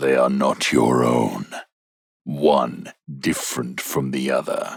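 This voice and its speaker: In a put-on character voice, a man speaks very slowly with a guttural, gravelly, very deep, low pitch. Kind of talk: horror narration. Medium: read story. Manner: calm, commanding, menacing.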